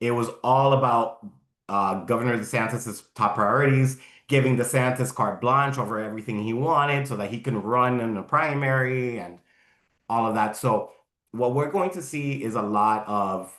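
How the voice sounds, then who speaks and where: An American-accented man with an unremarkable speaking voice talks at a moderate pace and medium pitch, with ordinary pitch variation. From Miami, Florida. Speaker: environmental group legislative director. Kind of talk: Q&A after a talk.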